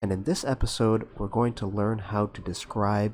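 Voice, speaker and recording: This man has an American accent and a fairly low pitch. His intonation stays fairly even. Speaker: English teacher. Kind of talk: educational tutorial narration. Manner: slow, clear.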